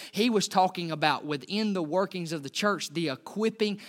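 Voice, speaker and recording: This man talks in a raised, projected voice, high-pitched for a man, at a fairly quick pace. His pitch varies in an ordinary way, and the recording is very clean with a silent background. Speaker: pastor. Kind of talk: sermon. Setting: church. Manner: fast.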